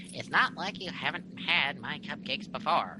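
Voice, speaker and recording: A man puts on a character voice with a high pitch. He talks at a moderate pace over clear background noise. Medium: read story. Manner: taunting.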